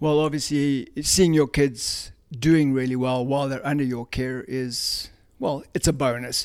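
A man talks fairly slowly at a fairly high pitch, his intonation monotone and flat. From South Africa. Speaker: youth running coach. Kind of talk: interview.

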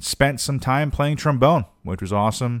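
In a very clean recording with a silent background, a man speaks at a fairly quick pace with ordinary pitch variation. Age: 30s. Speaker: podcast host, freelance musician and discus thrower. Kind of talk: solo podcast monologue. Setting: home recording in his apartment. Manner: casual, rambling with frequent fillers and repetitions.

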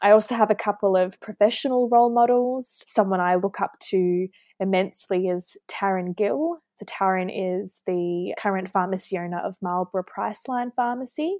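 A woman with a New Zealand accent, medium pitch and a dark, mellow tone, at a moderate pace with hardly any pauses and ordinary pitch variation, in a very clean recording with a silent background and a dry, close sound with no echo. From New Zealand, Auckland. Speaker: hospital pharmacist. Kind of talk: interview.

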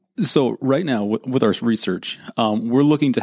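A man with an American accent speaks at a moderate pace with lively intonation in an ordinary speaking voice, the sound dry and close with no echo. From Northern California, Santa Rosa. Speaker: occupational therapy student. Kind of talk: interview.

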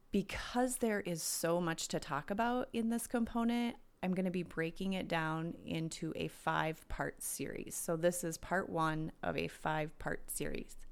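A woman's unremarkable speaking voice with an American accent, fairly low pitch and lively intonation, at a moderate pace with hardly any pauses, in a very clean recording with a silent background. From US Midwest, southern Minnesota. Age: 40s. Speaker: wellness podcast host. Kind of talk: solo podcast monologue. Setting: home.

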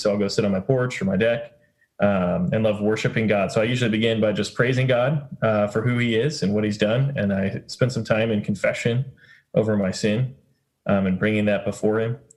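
A man with an unremarkable speaking voice speaks at a fairly low pitch. His intonation is fairly even and his loudness is very even. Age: 30s. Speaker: campus ministry director. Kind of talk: casual group discussion.

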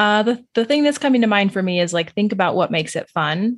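At a moderate pace, a woman speaks in an unremarkable speaking voice, medium in pitch with ordinary pitch variation. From US Southwest, New Mexico. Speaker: registered dietitian. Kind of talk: interview.

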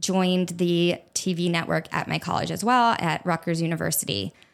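In a very clean recording with a silent background, a woman with an American accent talks at a fairly slow pace. Hers is an unremarkable speaking voice, pitched fairly low. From New Jersey, near Atlantic City. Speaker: food blogger and podcast host. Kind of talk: solo monologue, personal story. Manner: casual, chatty.

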